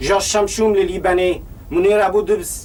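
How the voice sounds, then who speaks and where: Against noticeable background noise, a man with a slight Lebanese accent speaks with fairly even intonation. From Lebanon. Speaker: actor. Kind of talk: personal video ad.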